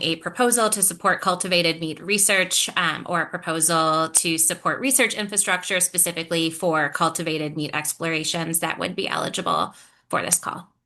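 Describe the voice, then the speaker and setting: With an ordinary speaking voice, a woman talks at a moderate pace and a fairly low pitch, showing ordinary pitch variation. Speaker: grant program staff. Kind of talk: webinar Q&A.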